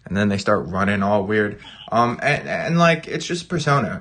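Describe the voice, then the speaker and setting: A man speaks loudly at a moderate pace in a fairly low pitch. His tone is animated, bright and sharp, with lively intonation. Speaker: gaming YouTuber. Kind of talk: casual chat on live stream. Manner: animated, all over the place.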